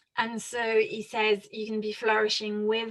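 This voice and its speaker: Speaking at a fairly slow pace, a woman with a French accent has a fairly high pitch. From France. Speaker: author and researcher on student wellbeing. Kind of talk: interview. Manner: halting.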